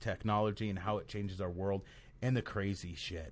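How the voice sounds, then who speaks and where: The man's voice is loud and fairly low in pitch. The recording is very clean, with a silent background. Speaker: podcast host. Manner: uses filler words and restarts often.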